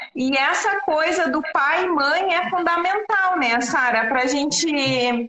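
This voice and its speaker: A woman with a high pitch and a strong Rio Grande do Sul accent speaks very slowly in a raised, projected voice, her intonation lively, her loudness very even and her pauses hardly there. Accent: southern Brazilian (gaúcho), strong. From Rio Grande do Sul, Brazil. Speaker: systemic therapist. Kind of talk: live-stream interview. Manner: hesitant, many fillers.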